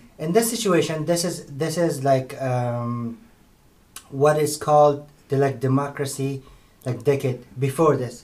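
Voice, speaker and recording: A man with a fairly high voice and ordinary pitch variation speaks over noticeable background noise. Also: fairly slow pace. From Afghanistan. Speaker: university student. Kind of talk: podcast discussion. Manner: hesitant, many fillers.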